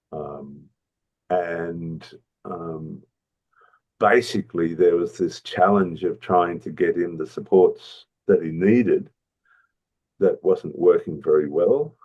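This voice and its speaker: A man with an Australian accent speaks at a very slow pace, with long, frequent pauses. His loudness swings widely. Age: 70s. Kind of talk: interview. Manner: halting, many fillers.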